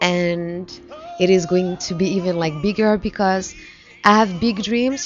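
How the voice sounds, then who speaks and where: In a French accent, a woman talks at a moderate pace with ordinary pitch variation over background music. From France (Paris). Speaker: musician. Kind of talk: interview. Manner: halting.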